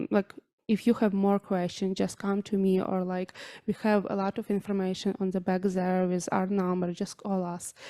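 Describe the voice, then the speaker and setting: A woman speaks in a flat monotone at a moderate pace. Her tone is dark and mellow, and the sound is dry and close with no echo. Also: medium pitch for a woman. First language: Ukrainian. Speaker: charity volunteer. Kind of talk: public address. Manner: halting.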